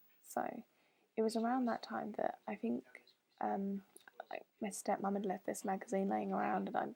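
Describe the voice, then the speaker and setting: In a British accent, a woman talks at a moderate pace. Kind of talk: casual talk to camera. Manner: hesitant, lots of fillers.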